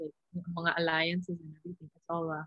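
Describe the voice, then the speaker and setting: A woman speaks at a fairly low pitch in a monotone, flat way. The sound is dry with no echo, and the background is quiet. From Philippines, then Vancouver, Canada. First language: Tagalog. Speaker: volleyball player; guest. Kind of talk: interview. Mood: calm, reflective. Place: home room. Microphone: video call.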